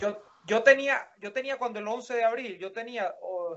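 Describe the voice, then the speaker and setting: Extremely high-pitched man's voice at a very slow pace with ordinary pitch variation. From Venezuela, Maracaibo. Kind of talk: casual chat.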